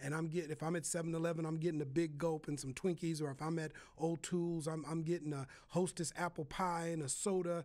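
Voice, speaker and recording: Talking at a very fast pace, a man with an American accent keeps a flat, monotone intonation at a fairly high pitch. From Minnesota, Minneapolis. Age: 50s. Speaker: podcast host, pastor. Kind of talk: casual chat.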